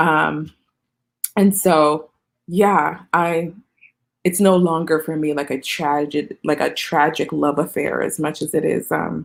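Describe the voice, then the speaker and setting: Speech comes at a very slow pace with vocal fry. The intonation stays fairly even. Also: woman, very deep, low pitch for a woman. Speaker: playwright. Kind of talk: interview. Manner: halting.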